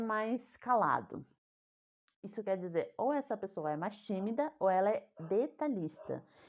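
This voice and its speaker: A woman with a fairly high pitch uses an ordinary speaking voice. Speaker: communication coach. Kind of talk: online talk on communication.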